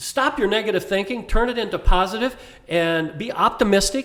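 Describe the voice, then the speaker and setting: Delivered at a medium tempo, the speech shows a normal degree of pitch movement. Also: man. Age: 70s. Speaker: inspirational speaker. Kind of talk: podcast interview. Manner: enthusiastic.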